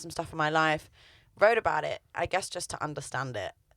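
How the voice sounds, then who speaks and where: At a very fast pace, a woman speaks with a fairly low pitch and ordinary pitch variation. The sound is dry and close with no echo, in a very clean recording with a silent background. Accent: London. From London. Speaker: singer-songwriter. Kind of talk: radio interview. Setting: radio studio.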